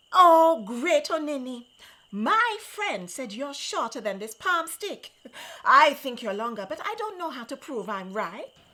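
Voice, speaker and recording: Putting on a character voice, a woman speaks at a moderate pace in a high pitch with very wide pitch swings. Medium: read story. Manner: sly, wheedling.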